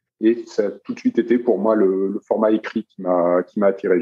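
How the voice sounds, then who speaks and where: A man talking at a fairly quick pace. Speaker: journalist and runner. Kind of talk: podcast interview. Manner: monotone; halting, many repetitions.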